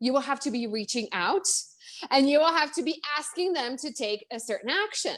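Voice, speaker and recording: In a Czech accent, a woman speaks at a high pitch. Her intonation is lively. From Czech Republic. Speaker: business coach. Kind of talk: interview. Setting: Facebook live stream. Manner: fast, animated.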